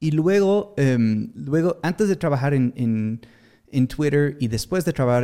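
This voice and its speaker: A man's dark, mellow tone at a moderate pace on a very clean recording with a silent background. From Atlantic Canada. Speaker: tech marketing entrepreneur. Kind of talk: casual interview. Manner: halting with many fillers.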